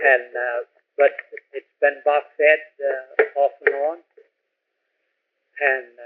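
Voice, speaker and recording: A man with an American accent speaks at a very slow pace, with long, frequent pauses and big swings in loudness. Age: 70s. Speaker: retired fire chief. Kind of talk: oral history interview.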